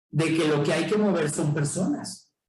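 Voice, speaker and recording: A man's voice with audible room echo. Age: 50s. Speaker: urban planning official, guest lecturer. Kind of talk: guest lecture.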